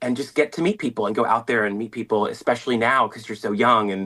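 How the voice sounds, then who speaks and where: The man's voice sits at a medium pitch and moves with lively intonation. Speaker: drag performer and violist. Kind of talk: interview. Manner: animated; talkative.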